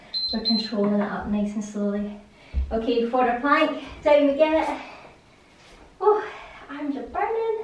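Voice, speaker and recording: Delivered at a fairly slow pace, the speech has lively intonation. Light background noise and audible room echo are present. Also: woman, high pitch for a woman. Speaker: fitness instructor. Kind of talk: guided follow-along workout coaching. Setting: home or studio video. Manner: casual, conversational, repeating cues. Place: home room. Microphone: camera far.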